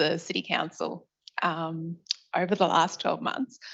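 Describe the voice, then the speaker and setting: A woman with an Australian accent, speaking at a fairly slow pace with fairly even intonation. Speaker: university sustainability officer. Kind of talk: audience question.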